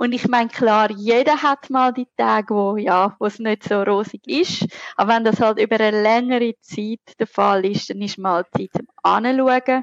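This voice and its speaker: With a Zurich accent, a woman speaks at a fairly slow pace with hardly any pauses, her fairly high pitch showing ordinary variation. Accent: Zurich Swiss German dialect. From Switzerland, Zurich. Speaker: burnout researcher and lecturer. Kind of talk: interview.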